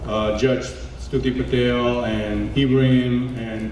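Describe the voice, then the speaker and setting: A man speaks over noticeable background noise. The room gives off an audible echo. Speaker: community organization founder. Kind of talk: gala speech. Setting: stage with audience. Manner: loud; animated.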